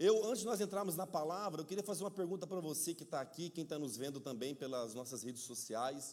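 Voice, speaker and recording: A man talks very fast in a fairly high pitch, with hardly any pauses. His tone is animated and his intonation lively. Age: middle-aged. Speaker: pastor. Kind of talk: sermon. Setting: church.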